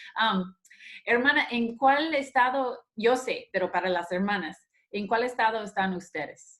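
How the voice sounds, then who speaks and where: A woman with a fairly high voice and an American accent talks at a fairly slow pace with lively intonation. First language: English (speaking Spanish). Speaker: church women's ministry host. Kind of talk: casual interview.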